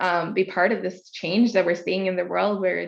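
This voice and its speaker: A woman with a Norwegian accent against a quiet background. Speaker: international expansion and marketing leader. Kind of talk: interview.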